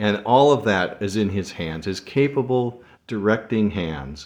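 Against a quiet background, a man speaks at a fairly slow pace and a medium pitch, his voice making very wide pitch swings. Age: 60s. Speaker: devotional podcast host. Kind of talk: devotional monologue. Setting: solo recording. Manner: halting, many fillers.

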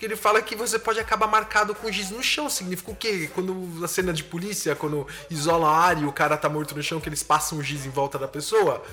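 Over noticeable background noise, a man talks at a very fast pace with hardly any pauses. His pitch is high, with ordinary variation. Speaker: podcast host. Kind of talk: casual monologue analyzing song lyrics. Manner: animated.

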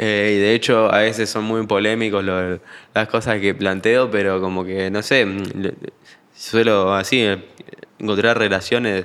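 A man's fairly low, flat monotone at a fairly slow pace, broken by long, frequent pauses. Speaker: musician. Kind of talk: casual chat.

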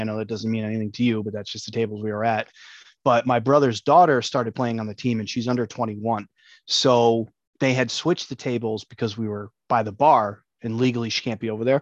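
A man with a plain, everyday voice at medium pitch, fairly even intonation, and a fairly quick pace, over a quiet background. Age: 30s. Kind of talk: casual chat.

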